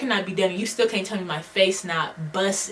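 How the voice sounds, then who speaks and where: Background noise is noticeable. Over it, a woman rattles off her words very fast. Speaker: beauty and lifestyle vlogger. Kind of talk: casual advice vlog rant. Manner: casual, conversational slang.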